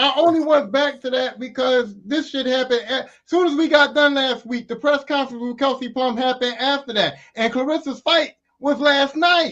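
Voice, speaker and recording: Loud, extremely high-pitched male voice at a moderate pace, with fairly even intonation. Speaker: podcast co-host. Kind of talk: casual chat.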